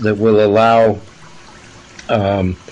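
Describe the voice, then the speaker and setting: A man with an American accent at a medium pitch, over noticeable background noise. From United States. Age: 70s. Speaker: scientist and activist. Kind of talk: interview. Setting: radio interview. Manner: halting, many fillers and repetitions.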